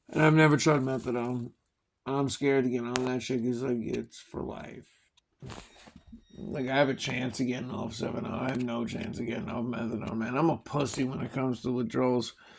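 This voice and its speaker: At a fairly quick pace, a man with a Long Island accent speaks at medium pitch in a monotone, flat intonation. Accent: Long Island New York. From Long Island, New York (Suffolk County). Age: 30s. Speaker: vlogger, recovering addict. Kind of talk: casual monologue.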